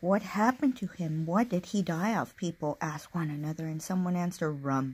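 Somewhat breathy, a woman speaks at a fairly low pitch with ordinary pitch variation. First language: Spanish. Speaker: book vlogger. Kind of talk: casual vlog with reading aloud. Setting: home alone, recording video. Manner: halting. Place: home room. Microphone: phone near.

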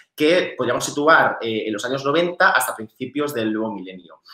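A man's fairly high voice with lively intonation at a fairly quick pace, audible room echo and a quiet background. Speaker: researcher; conference presenter. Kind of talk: conference presentation. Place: home room. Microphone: webcam.

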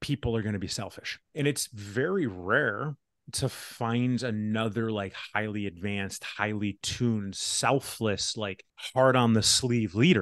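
At a fairly slow pace, a man speaks with ordinary pitch variation. The sound is dry with no echo against a quiet background. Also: medium pitch for a man. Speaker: podcast host. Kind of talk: casual podcast conversation. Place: home room. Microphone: studio mic.

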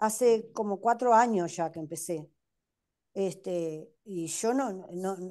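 A woman talks with a Uruguayan accent at a medium pitch. Her intonation is lively, and the background is quiet. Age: 60s. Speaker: patient. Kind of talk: testimony. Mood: grateful, relieved. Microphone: video call.

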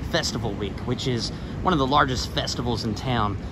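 A man talks at a fairly quick pace over noticeable background noise, in a dry recording with no echo. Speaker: travel vlogger. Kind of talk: walking tour commentary. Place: street. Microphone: phone near.

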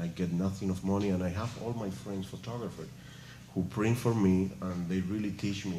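A man's very deep, low voice with ordinary pitch variation, audible room echo and light background noise. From Cuba. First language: Spanish. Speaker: visual artist; panelist. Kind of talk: artist talk with Q&A. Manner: halting, searching for words. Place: hall. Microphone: podium.

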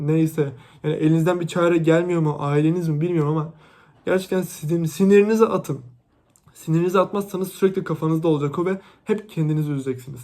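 A man with a fairly high pitch talks very fast in an animated tone. The recording is very clean, with a silent background. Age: 20s. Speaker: YouTuber, university student. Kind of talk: vlog rant to camera.

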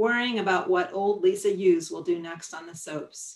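A woman speaking at a fairly slow pace. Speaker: publisher and poet. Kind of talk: poetry reading, performing her own poems aloud. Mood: calm, warm, reflective. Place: home room. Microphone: webcam.

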